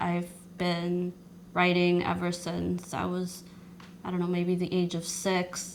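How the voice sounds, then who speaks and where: A woman with a fairly low pitch talks at a very slow pace. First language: not English. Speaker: social worker and poet. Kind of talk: interview. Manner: halting.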